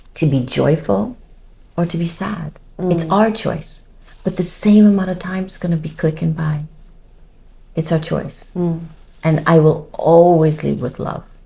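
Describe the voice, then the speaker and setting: In an American accent, a woman with a dark, mellow, somewhat breathy tone speaks at a fairly slow pace, leaving long, frequent pauses. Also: fairly low pitch for a woman, ordinary pitch variation. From United States. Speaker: model and TV personality. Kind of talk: interview answer.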